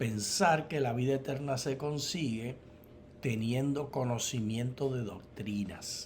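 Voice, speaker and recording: A man speaks at a very slow pace in a somewhat breathy voice, with audible room echo. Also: medium pitch for a man, ordinary pitch variation. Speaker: theology professor and co-host. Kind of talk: Bible study dialogue.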